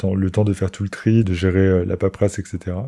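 Here a man speaks with a very deep, low pitch and a dark, mellow tone. The background is quiet. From Lorraine, France. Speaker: podcaster. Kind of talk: solo personal monologue. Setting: recording alone.

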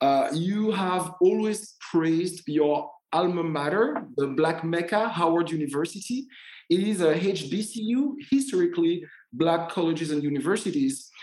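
With a French accent, the speaker keeps a moderate pace. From Martinique. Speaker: podcast host and tour guide. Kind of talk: interview.

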